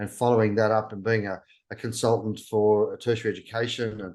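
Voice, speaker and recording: A man speaks with a strong Australian accent in a monotone, flat intonation at medium pitch. The background is quiet. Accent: broad Australian. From Australia, New South Wales (Orange, Sydney). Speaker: travel YouTuber. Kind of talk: interview. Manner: halting.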